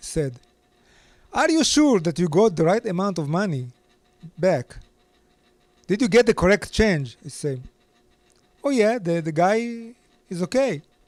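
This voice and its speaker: A man speaks in a high voice with very wide pitch swings. His pace is fairly slow, broken by long, frequent pauses. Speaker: storyteller. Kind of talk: personal storytelling.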